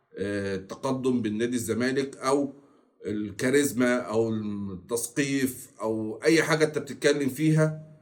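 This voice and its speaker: At a fairly slow pace, a man talks in a medium pitch with ordinary pitch variation. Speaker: football commentary youtuber. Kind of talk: casual commentary monologue. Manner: deliberately slower and louder than usual.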